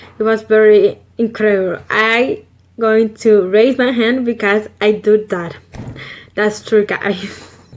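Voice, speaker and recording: A woman with a Salvadoran accent speaks very slowly in a monotone, flat intonation. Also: fairly high pitch for a woman. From El Salvador. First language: Spanish. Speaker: vlogger. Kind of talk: casual vlog. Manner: halting with fillers.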